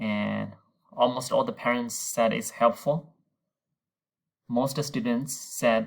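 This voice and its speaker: At a fairly slow pace, a man speaks at medium pitch with ordinary pitch variation. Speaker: Mandarin teacher. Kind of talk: recorded class announcement.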